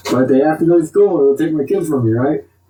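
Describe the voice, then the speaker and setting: Noticeable background noise sits behind this man's voice. His pitch varies in an ordinary way. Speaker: vlogger ranting to camera. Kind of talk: monologue rant. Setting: talking to a camera. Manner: fast; animated.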